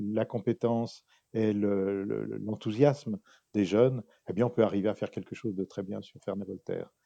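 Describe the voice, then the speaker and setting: A man's fairly low, dark, mellow voice with fairly even intonation and a fairly quick pace, in a dry, close sound with no echo and a quiet background. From France, Pays de Gex near Geneva. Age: 70s. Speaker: local politician, former mayor. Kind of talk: campaign interview.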